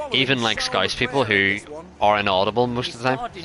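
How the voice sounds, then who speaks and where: Over noticeable background noise, a man with an Irish accent and medium pitch talks at a fairly quick pace. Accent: Irish accent, recognized by viewers. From Ireland. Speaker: gaming streamer. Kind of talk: live gameplay commentary. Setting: live stream. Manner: casual, conversational.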